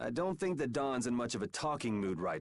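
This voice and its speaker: A man puts on a growling character voice at a medium pitch. His pitch swings very widely. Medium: video game. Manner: wry, laid-back.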